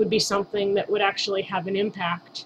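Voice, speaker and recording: There is noticeable background noise behind this woman. She speaks at a moderate pace with an American accent. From Southern California. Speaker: author. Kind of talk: personal testimony to camera.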